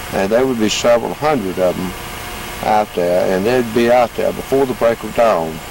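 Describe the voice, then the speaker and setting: A man with a Georgia accent speaks at medium pitch and a moderate pace, with ordinary pitch variation. Noticeable background noise runs under his voice. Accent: Southern US, Georgia. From US South, Georgia. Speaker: interviewee recalling farm childhood. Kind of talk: oral history interview. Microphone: home video recording, poor quality.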